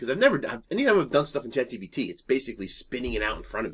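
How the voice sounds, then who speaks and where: Animated and lively in intonation, a man talks very fast at a medium pitch. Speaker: YouTuber. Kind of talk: casual storytelling vlog.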